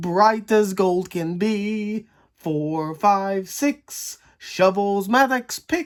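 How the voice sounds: Pitch moves in an ordinary way through a natural reading voice.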